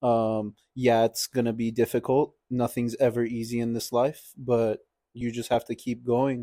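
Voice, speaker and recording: A man with an American accent speaks at a fairly slow pace in a dark, mellow tone and a monotone, flat intonation. The recording is very clean, with a silent background and a dry, close sound with no echo. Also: medium pitch for a man. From Los Angeles, US. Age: young adult. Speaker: church parishioner. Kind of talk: casual interview.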